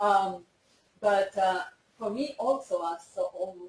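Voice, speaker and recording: A woman of medium pitch speaks in a Spanish accent. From Colombia. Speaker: veterinary scientist. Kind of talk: dedication speech. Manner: halting.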